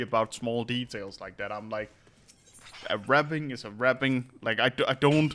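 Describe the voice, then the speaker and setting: A man at medium pitch, moderate pace and ordinary pitch variation. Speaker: streamer. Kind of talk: casual chat. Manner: halting.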